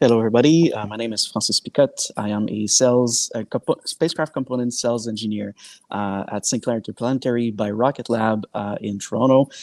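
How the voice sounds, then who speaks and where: A man with a French-Canadian accent rattles along at a very fast pace with fairly even intonation, his sound dry and close with no echo. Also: medium pitch for a man, hardly any pauses. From Quebec. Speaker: sales engineer. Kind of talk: panel discussion. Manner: hesitant, many fillers.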